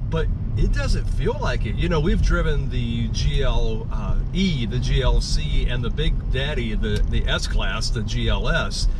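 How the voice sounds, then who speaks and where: Loud background noise runs under a man speaking at a very slow pace. The sound is dry, with no echo. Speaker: car reviewer driving. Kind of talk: car review commentary. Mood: cheerful, joking. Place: car. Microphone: phone near.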